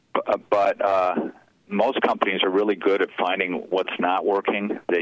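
A man with an unremarkable speaking voice and an American accent, fairly low in pitch, at a moderate pace. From US Midwest, Chicago. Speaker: former corporate CEO. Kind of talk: interview. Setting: phone call.

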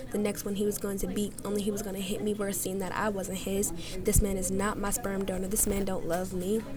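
Music plays behind a woman whose intense, medium-pitched voice moves at a fairly quick pace in a monotone, flat intonation. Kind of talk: spoken word poetry performance. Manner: emotionally charged, rhythmic, intense; earnest, pleading, comforting.

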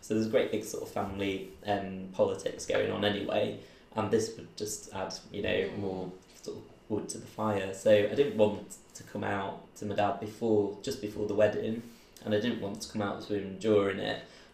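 Speaking in a Mancunian accent at a moderate pace, a man varies widely in loudness, with audible room echo. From Manchester, England. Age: 30s. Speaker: recruitment business owner. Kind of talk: oral history interview.

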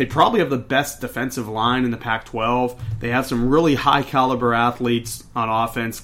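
With a plain, everyday voice, a man in an American accent speaks at a medium pitch with fairly even intonation. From Pittsburgh, Pennsylvania. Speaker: college football podcast co-host. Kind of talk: casual sports chat.

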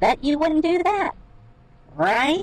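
It's a put-on character voice. The pitch is high and squeaky. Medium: read story.

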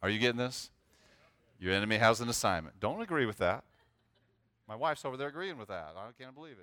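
In a very clean recording with a silent background, a man with a medium pitch talks at a very fast pace, his bright, sharp, animated tone and lively intonation marked by big swings in loudness and long, frequent pauses. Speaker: pastor. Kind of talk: sermon.

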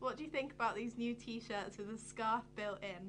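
A woman talks at a moderate pace with a fairly high pitch and ordinary pitch variation. Her tone is bright and sharp, with vocal fry. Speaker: co-host. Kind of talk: casual chat.

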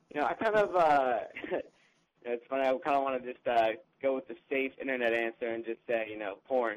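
A man with an American accent talks at a fairly quick pace in an unremarkable speaking voice, medium in pitch, with ordinary pitch variation. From New Jersey. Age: 20s. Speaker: social media marketing assistant. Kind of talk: interview.

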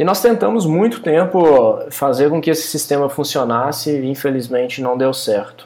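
The voice moves at a moderate pace, with audible room echo around it. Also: man. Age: 30s. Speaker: software company co-founder. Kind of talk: casual chat.

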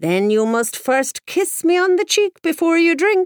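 In a put-on character voice, a woman cackles at an extremely high pitch and a fairly slow pace. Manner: cackling, teasing.

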